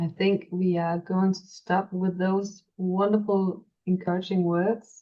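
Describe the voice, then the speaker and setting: A woman speaks with a Danish accent. Her pace is very slow. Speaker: podcast host. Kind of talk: podcast interview. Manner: halting.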